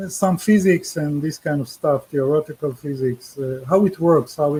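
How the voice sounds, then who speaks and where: The man's voice has a dark, mellow tone. It sounds somewhat breathy. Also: fairly high pitch for a man, ordinary pitch variation. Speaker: UFO experiencer and author. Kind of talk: interview. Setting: radio show call. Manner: slow; halting.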